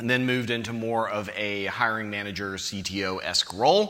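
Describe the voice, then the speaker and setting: A man with an American accent speaks at a moderate pace. His tone is bright and sharp, and there is audible room echo. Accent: American, non-British. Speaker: conference speaker, tech manager. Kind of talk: conference talk. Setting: stage with audience. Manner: casual, joking.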